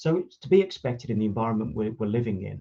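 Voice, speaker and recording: A man with a slight Brummie accent talks very fast in a dark, mellow, somewhat breathy tone. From Birmingham, England. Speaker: automotive industry consultant. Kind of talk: conference talk. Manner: hesitant, frequent fillers and restarts.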